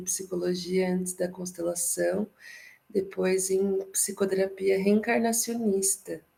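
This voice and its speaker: A soft-spoken woman talks at a fairly slow pace. Her pitch is medium. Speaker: psychologist and therapist, workshop participant. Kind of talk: casual discussion in an online workshop.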